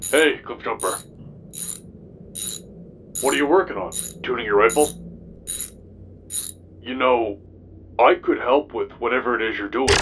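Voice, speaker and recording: Using a put-on character voice at a medium pitch, a man speaks at a moderate pace with long, frequent pauses over clear background noise. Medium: audio drama. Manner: hesitant.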